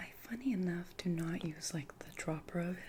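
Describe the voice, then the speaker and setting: A woman is whispering. Her pace is fairly slow. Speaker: ASMR creator. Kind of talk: ASMR roleplay personal attention. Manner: soft-spoken, gentle, caring.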